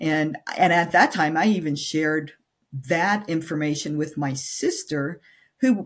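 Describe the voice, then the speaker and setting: A woman's very deep, low voice at a fairly slow pace with ordinary pitch variation, in a very clean recording with a silent background. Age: 60s. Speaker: menopause nutrition coach. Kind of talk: podcast interview. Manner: halting, many fillers.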